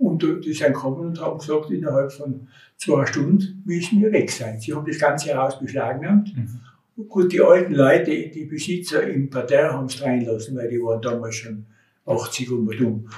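Somewhat breathy and fairly high-pitched, a man speaks with lively intonation and big swings in loudness. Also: moderate pace. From Austria, Tyrol (Innsbruck-Mühlau). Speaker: contemporary witness, retired municipal utility worker and mountaineer. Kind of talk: oral history interview. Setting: recorded on location at home in the neighbourhood. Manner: halting.

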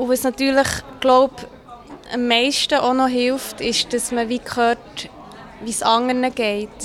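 A woman's high, monotone, flat voice at a fairly slow pace, broken by long, frequent pauses, with music in the background. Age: young. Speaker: loneliness activist. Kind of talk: interview.

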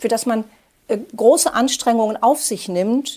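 A woman with an ordinary speaking voice, lively intonation and a moderate pace, on a very clean recording with a silent background. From Germany. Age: 60s. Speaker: journalist and author. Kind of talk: interview.

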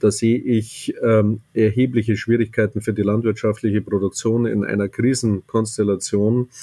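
A man speaks at a medium pitch with a dark, mellow tone, in a flat monotone at a moderate pace. His loudness stays very even, and the recording is very clean with a silent background. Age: 60s. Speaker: business executive. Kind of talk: interview.

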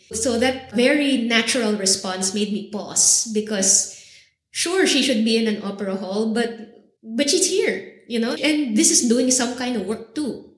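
Audible room echo surrounds a woman with a fairly high pitch. She speaks at a moderate pace. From Philippines, Manila. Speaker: vocal artist and cultural geographer. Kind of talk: interview conversation. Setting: university recording session.

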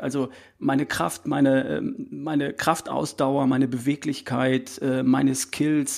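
A man with a fairly high pitch and vocal fry. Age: 50s. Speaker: health coach. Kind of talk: interview.

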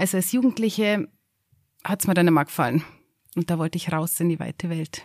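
The sound is dry and close with no echo as a woman talks at a fairly low pitch and fairly quick pace, with ordinary pitch variation and long, frequent pauses. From Upper Bavaria, Garmisch-Partenkirchen district. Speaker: mountain hut operator. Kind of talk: casual chat. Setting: mountain hut.

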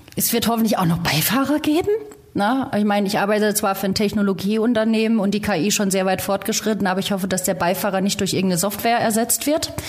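A woman's very fast speech at very even loudness, with noticeable background noise. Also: medium pitch for a woman, ordinary pitch variation. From rural Germany. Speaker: rally co-driver. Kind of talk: casual interview.

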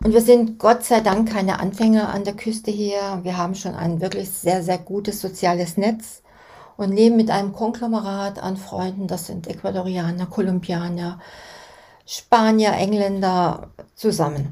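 A woman speaks at a moderate pace in a medium pitch with fairly even intonation. Her tone is dark and mellow, and somewhat breathy. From Germany. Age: 60s. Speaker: podcast host. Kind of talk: scripted narration.

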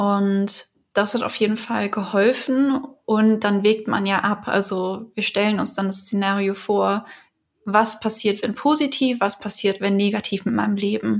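With a medium pitch and fairly even intonation, this woman talks at a moderate pace. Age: 30s. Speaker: patient advocate, works in film industry. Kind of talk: interview testimony. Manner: halting.

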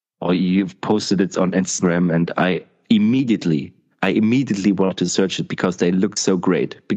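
With a German accent, a man talks at a fairly quick clip in a very deep, low voice with a dark, mellow tone, fairly even intonation and very even loudness. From East Germany. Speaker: podcast host. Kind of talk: casual interview.

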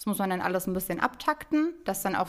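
A woman with a medium pitch and lively intonation speaks in a normal speaking voice. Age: 20s. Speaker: real estate financing advisor at a bank. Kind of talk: podcast interview.

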